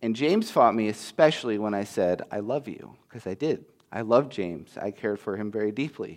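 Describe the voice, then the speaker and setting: A man with a normal speaking voice talks at a fairly quick pace and fairly low pitch, with ordinary pitch variation and big swings in loudness over a quiet background. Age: 30s. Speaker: pastoral intern preaching. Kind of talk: sermon. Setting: church.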